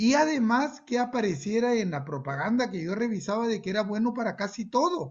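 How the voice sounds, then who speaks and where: A man's high-pitched voice with lively intonation, at a moderate pace. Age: 60s. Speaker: medical doctor. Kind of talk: testimony.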